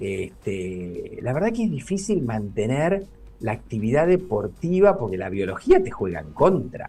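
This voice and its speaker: With music in the background, a man talks fairly slowly in a Rioplatense accent, his pitch swinging very widely. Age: 60s. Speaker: neurologist. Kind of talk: radio interview. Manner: hesitant, filler-heavy.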